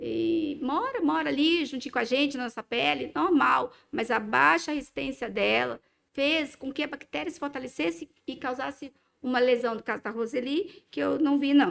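A woman with a high pitch and lively intonation speaks at a moderate pace on a very clean recording against a silent background. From Brazil, Minas Gerais. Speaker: dermatologist. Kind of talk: casual interview.

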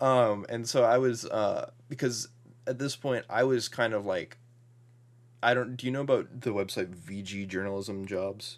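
A man's normal speaking voice, medium in pitch, with fairly even intonation, a moderate pace and a very clean recording with a silent background. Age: 20s. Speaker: video game writer and podcaster. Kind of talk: casual interview.

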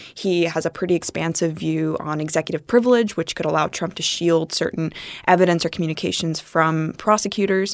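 At a fairly quick pace, a woman with an unremarkable speaking voice talks in a fairly low pitch with fairly even intonation. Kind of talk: interview about politics.

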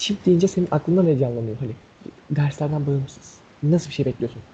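A man's fairly high, dark and mellow voice, somewhat breathy, at a fairly quick pace with ordinary pitch variation. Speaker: podcast co-host. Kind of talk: casual chat.

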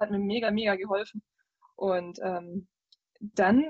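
The woman's voice is somewhat breathy, with ordinary pitch variation. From Swabia, southern Germany. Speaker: video game journalist. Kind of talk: casual chat.

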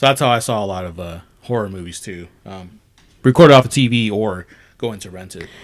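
A man with an American accent and a plain, everyday voice, fairly low in pitch, with ordinary pitch variation and a fairly quick pace, on a very clean recording with a silent background. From California Central Valley, small town. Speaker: independent filmmaker, podcast co-host. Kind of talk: casual chat.

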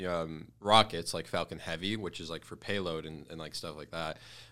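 Very clean recording, silent background: a man speaks in an American accent at a moderate pace. His tone is bright and sharp, his intonation fairly even. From US Midwest, Detroit. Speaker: e-commerce entrepreneur. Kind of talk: casual chat.

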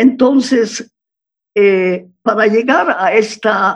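A woman speaks at a very slow pace. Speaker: psychoanalyst. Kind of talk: interview.

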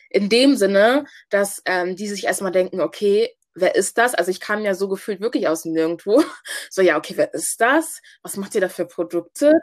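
This woman has a normal speaking voice, pitched in the medium range, with lively intonation and a moderate pace. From Hamburg, Germany (Ghanaian family). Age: 20s. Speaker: student and business founder. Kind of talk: interview.

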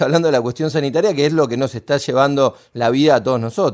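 This man's voice has a dark, mellow tone. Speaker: radio host. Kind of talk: radio interview.

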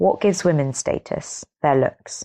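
With an English accent, a woman speaks at a fairly slow pace and a very deep, low pitch, in a dry, close sound with no echo and a quiet background. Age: 20s. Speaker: podcast host. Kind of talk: casual chat.

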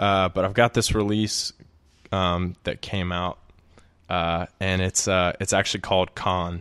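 In an Alabama accent, a man speaks at a fairly slow pace with a very deep, low pitch and monotone, flat intonation. The sound is dry and close with no echo, over a quiet background. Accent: Southern US (Alabama). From Alabama, US South (Birmingham). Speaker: musician and software consultant. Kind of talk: casual chat.

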